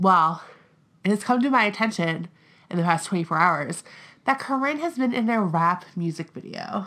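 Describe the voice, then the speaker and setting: On a very clean recording with a silent background, a woman with a bright, sharp, animated tone speaks at a moderate pace with lively intonation and long, frequent pauses. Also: medium pitch for a woman. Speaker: podcast host. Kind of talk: casual chat, podcast banter. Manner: animated, snarky.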